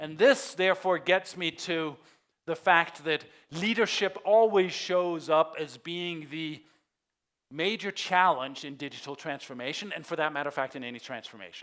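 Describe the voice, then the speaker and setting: On a very clean recording with a silent background, a man with a Danish accent speaks at a moderate pace and fairly high pitch, with ordinary pitch variation. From Denmark. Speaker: conference keynote speaker. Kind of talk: keynote presentation. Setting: stage with audience.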